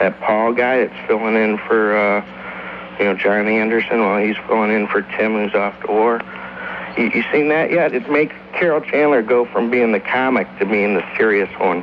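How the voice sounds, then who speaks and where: Over noticeable background noise, a man speaks at a medium pitch and moderate pace with ordinary pitch variation. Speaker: radio call-in listener. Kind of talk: casual talk-radio call. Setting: phone line. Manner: stammering.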